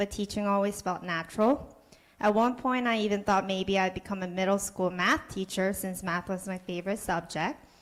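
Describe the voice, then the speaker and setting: Speaking at a fairly quick pace, a woman uses a medium pitch with ordinary variation. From Korea. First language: Korean. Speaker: kindergarten teacher. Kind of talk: prepared speech. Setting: public board meeting.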